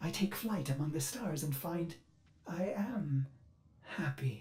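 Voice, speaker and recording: Someone speaks in a put-on character voice at a middle pitch and a fairly slow pace. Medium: video game. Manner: earnest, intimate.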